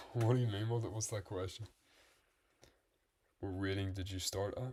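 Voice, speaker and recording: In a very clean recording with a silent background, a man speaks in a relaxed, somewhat breathy tone at a fairly low pitch with fairly even intonation. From Northern Ireland. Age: 20s. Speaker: chess streamer. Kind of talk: live-stream commentary while playing chess. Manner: relaxed, thinking aloud.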